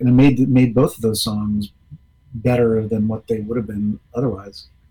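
Somewhat breathy, with a dark, mellow tone and an American accent, a man talks at a medium pitch and a moderate pace. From Washington DC. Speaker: rock musician. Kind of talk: casual chat.

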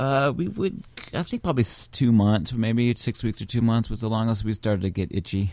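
An ordinary speaking voice from a man with an American accent, medium in pitch, fairly quick, with lively intonation. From Washington D.C. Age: 40s. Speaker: bass player. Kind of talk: casual chat.

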